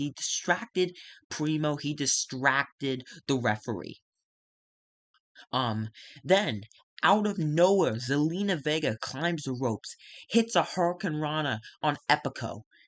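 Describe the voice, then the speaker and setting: A quiet man speaks at a fairly high pitch with lively intonation, at a fairly slow pace. He leaves long, frequent pauses, and the sound is dry and close with no echo. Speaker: gaming video narrator. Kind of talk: casual narration of a simulated wrestling show. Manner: hesitant, many fillers.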